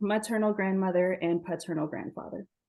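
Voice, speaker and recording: In a fairly quick American accent, a woman speaks at medium pitch with a dark, mellow tone against a quiet background. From US Southwest, Navajo Nation (Shiprock, New Mexico). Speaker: event moderator. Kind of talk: webinar presentation.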